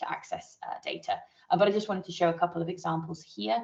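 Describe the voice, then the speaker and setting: A woman is speaking. She talks at a very fast pace. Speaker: marine satellite data scientist. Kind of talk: technical presentation in online training. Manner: hesitant with many fillers.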